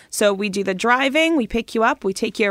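A woman with a Canadian accent has a normal speaking voice of medium pitch, ordinary in variation, at a moderate pace. The recording is very clean, dry and close, with a silent background and no echo. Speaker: brewery tour operator. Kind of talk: radio interview.

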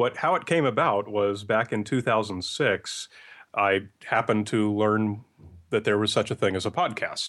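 Here is a man with a normal speaking voice and fairly low pitch. He talks at a moderate pace with ordinary pitch variation. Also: very clean recording, silent background. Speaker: podcast creator and science skeptic. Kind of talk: casual interview.

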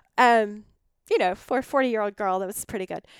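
With a Southern US accent, a woman speaks at medium pitch with ordinary pitch variation, in a very clean recording that is dry and close with no echo and has a silent background. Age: 40s. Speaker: guest sharing recovery story. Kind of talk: testimony.

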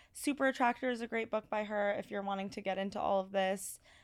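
A woman talks at a very fast pace in a Californian accent. Her pitch is medium, and the recording is very clean, with a silent background. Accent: Californian American. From Los Angeles, US. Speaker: registered dietitian. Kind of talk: casual chat. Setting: studio. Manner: animated.

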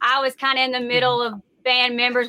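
A woman with a Southern US accent, high in pitch, at a fairly quick pace. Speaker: rock singer. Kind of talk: casual chat.

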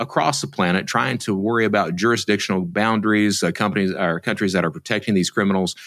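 A man with an Appalachian accent at a fairly quick pace, on a very clean recording against a silent background. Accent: Appalachian US Southern. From Eastern Kentucky. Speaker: former cybercriminal turned security speaker. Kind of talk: interview.

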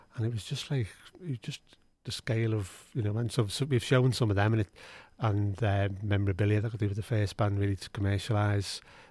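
In a Liverpool accent, a man speaks at a very fast pace with a fairly low, somewhat breathy voice and fairly even intonation. The recording is very clean, with a silent background. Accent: Scouse. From Liverpool, England. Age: 60s. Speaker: music strategy official. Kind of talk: casual interview. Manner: halting, repetitive.

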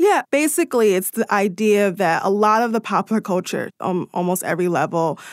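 On a very clean recording with a silent background and a dry, close sound with no echo, a woman with a normal speaking voice talks at a fairly quick pace, her medium pitch showing ordinary variation. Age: 20s. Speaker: digital media editor. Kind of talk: interview.

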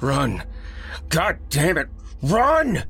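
Against clear background noise, a man puts on a character voice at a high pitch. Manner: weak, gasping, urgent.

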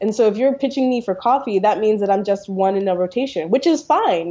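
In an American accent, a plain, everyday voice moves at a fairly quick pace with lively intonation. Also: woman. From US South, New Orleans. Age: 20s. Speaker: toy company founder. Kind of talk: casual chat.

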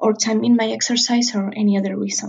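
A woman's fairly high voice with a Spanish accent, fairly quick and fairly even in intonation. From Spain. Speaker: caller, law student. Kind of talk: recorded listener question.

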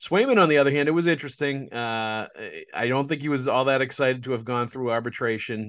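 Over a quiet background, a man talks at a fairly quick pace in an ordinary speaking voice with ordinary pitch variation. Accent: American. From Boston. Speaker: hockey podcast host and sportswriter. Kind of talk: solo podcast mailbag.

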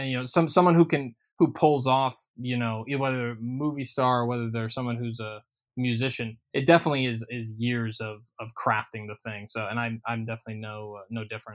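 A man with an American accent speaks at a fairly quick pace, his pitch medium and his intonation fairly even, in a plain, everyday voice. The recording is very clean, with a silent background. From Ohio. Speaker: musician. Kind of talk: casual chat.

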